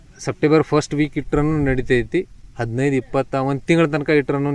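A man's voice, fairly high in pitch. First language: Marathi (speaking Kannada). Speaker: grape farming advisor. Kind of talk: farming tutorial. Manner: halting.

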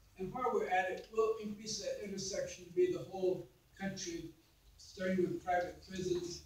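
Against audible room echo, a man speaks at a moderate pace in a high pitch with monotone, flat intonation. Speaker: congressional candidate; candidate. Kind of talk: candidate forum answers and stump-style speech. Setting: candidate forum with moderator questions. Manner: impassioned, fervent. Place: meeting room. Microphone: camera far.

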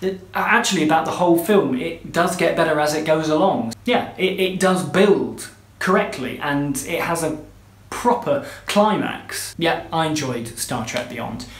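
A fairly high-pitched man with a British accent, fairly slow and with lively intonation, in audible room echo. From UK. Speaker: film reviewer. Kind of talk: scripted review to camera. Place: home room. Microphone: phone near.

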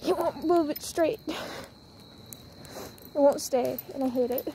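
A woman speaking at a fairly slow pace with fairly even intonation, dry sound with no echo and light background noise. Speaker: dog owner vlogger. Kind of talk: casual vlog chat. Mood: relaxed, a bit venting. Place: street. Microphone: phone near.

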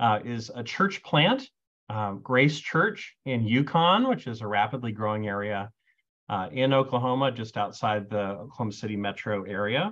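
Against a quiet background, the speaker keeps a moderate pace with ordinary pitch variation. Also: man. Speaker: panelist. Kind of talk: panel discussion talk. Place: office. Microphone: video call.

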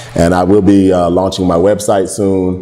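Someone with an American accent speaks at a moderate pace over light background noise. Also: man. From Philadelphia. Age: 40s. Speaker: comedian and Marine veteran; comedian guest. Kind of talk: casual interview with comedic storytelling. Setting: restaurant venue.

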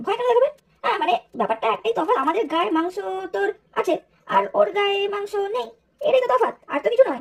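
A cartoonish character voice races at a very fast pace, extremely high in pitch and swinging very widely up and down. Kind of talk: cartoon comedy. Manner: chatty, comic.

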